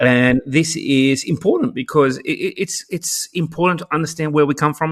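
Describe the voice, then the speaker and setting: A man with an Australian accent at a fairly high pitch, ordinary pitch variation, a moderate pace, and a dry, close sound with no echo. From Australia, Sydney. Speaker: education technology advocate and author. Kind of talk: podcast interview. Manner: halting, many repeated words; animated.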